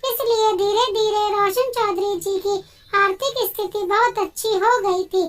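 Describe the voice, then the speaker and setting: Putting on a character voice, a woman speaks in an extremely high, squeaky pitch at a moderate pace with fairly even intonation. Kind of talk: emotional Hindi moral-story narration. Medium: read story. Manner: earnest, dramatic storytelling.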